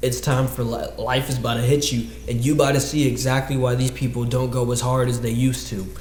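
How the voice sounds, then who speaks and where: The recording carries audible room echo and noticeable background noise. Through it, a man talks. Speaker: dance podcast host. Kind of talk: casual monologue. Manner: fast; animated.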